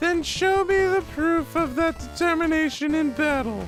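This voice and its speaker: Over clear background music, a man does a put-on character voice at an extremely high pitch and a moderate pace. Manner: challenging, commanding.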